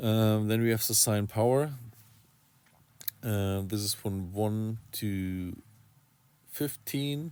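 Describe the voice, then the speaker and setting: A man speaks with a non-native accent at a fairly low pitch and ordinary pitch variation. His pace is very slow, broken by long, frequent pauses. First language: not English. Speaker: RC hobby YouTuber. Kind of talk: tutorial. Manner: halting, many fillers.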